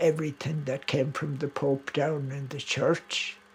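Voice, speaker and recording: A man with an Irish accent talks at a fairly high pitch in a monotone, flat way. Noticeable background noise runs underneath. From Ireland. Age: 70s. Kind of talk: documentary interview.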